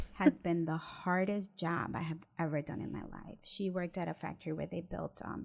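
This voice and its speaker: A woman's normal speaking voice, fairly low in pitch, with an American accent, fairly even intonation, a moderate pace and hardly any pauses. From Mexico, raised in the US from age six. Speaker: real estate attorney and investor. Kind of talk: interview, personal story.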